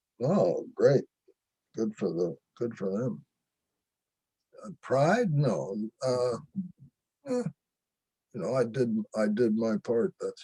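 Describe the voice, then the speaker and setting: A man with an American accent, medium pitch and a dark, mellow tone, very wide pitch swings, a very slow pace, long and frequent pauses, and a dry, close sound with no echo. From Pennsylvania, US. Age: 90s. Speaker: Korean War veteran. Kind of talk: interview testimony. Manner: halting.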